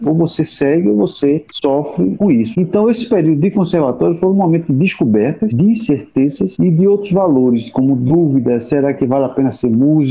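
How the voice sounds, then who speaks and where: Fairly high-pitched and fairly quick, a man's voice swings very widely in pitch while its loudness stays very even. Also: hardly any pauses. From Recife, Pernambuco, Brazil. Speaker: university music professor. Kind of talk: interview. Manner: halting.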